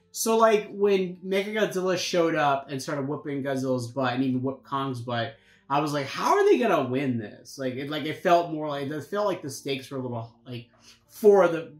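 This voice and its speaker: Audible room echo surrounds a voice speaking at a moderate pace. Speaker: movie review co-host. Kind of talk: casual podcast-style commentary. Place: home room. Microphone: camera far.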